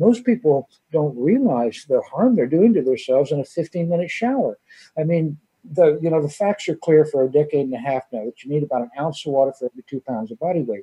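Fairly quick, lively speech from a man, somewhat breathy and fairly high in pitch. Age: 50s. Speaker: water device company owner. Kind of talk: radio interview.

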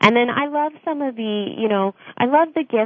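A woman with an American accent and a normal speaking voice talks at a moderate pace with lively intonation. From United States. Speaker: charity program director. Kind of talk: radio interview.

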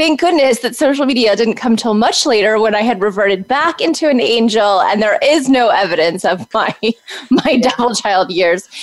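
Over noticeable background noise, a woman with an American accent speaks in a fairly high pitch with lively intonation. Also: moderate pace. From Texas. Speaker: social media agency owner. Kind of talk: interview.

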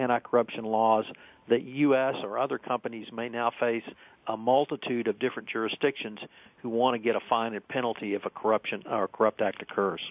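Speaking at a fairly quick pace, this is an ordinary speaking voice with an American accent. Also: man. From central Texas. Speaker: compliance attorney. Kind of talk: radio panel discussion. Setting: phone call.

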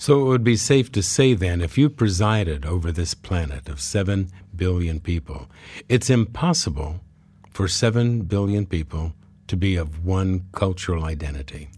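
A dark, mellow, somewhat breathy voice with lively intonation, at a moderate pace against a quiet background. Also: man, very deep, low pitch for a man. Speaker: radio host, psychologist. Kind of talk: interview.

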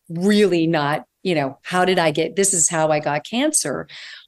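Over a quiet background, a woman has a normal speaking voice, fairly low in pitch with ordinary pitch variation. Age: 60s. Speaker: integrative holistic nutritionist and author. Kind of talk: interview conversation.

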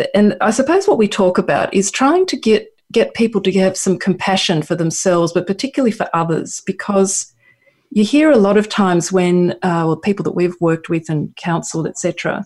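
Somewhat breathy and with an Australian accent, the voice moves at a moderate pace with ordinary pitch variation over a quiet background. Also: woman, medium pitch for a woman. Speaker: counsellor. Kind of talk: casual chat. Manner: halting.

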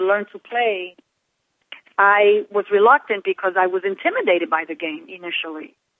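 Her voice is a plain, everyday voice, medium in pitch, and the woman speaks at a moderate pace. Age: 50s. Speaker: author. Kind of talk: radio interview.

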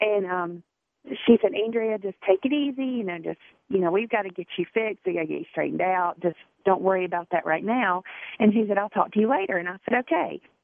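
A woman with a Southern US accent speaks at a very fast pace with ordinary pitch variation. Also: medium pitch for a woman. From South Carolina. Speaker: single mom, Army National Guard veteran.

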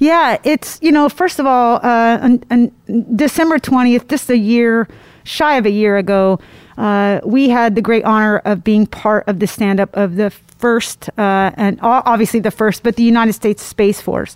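A woman with a plain, everyday voice, fairly high pitch, ordinary pitch variation and a moderate pace, in a dry, close sound with no echo. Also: very even loudness. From Indiana. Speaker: air force senior enlisted leader. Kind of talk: interview.

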